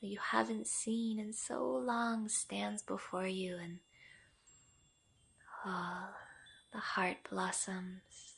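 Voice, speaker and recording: Very slow, with long, frequent pauses, a woman of medium pitch speaks in a gentle, calm tone with very wide pitch swings. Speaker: yoga nidra guide. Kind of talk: guided meditation, yoga nidra. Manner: slow, gentle, calm.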